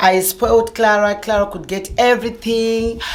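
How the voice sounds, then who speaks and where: A woman speaks at a fairly slow pace. Audible room echo and noticeable background noise fill the recording. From Zimbabwe. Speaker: vlogger. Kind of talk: personal storytelling.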